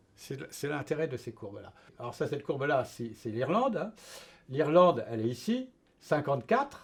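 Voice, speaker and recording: The voice is somewhat breathy, with big swings in loudness. Intonation is lively and the pace moderate. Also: man, fairly high pitch for a man. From France. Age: 70s. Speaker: retired engineer. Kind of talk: interview. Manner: halting, many hesitations.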